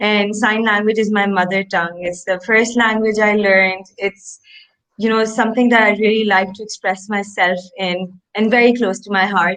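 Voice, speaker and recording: A woman's medium pitch with monotone, flat intonation. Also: moderate pace. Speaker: startup co-founder. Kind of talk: interview.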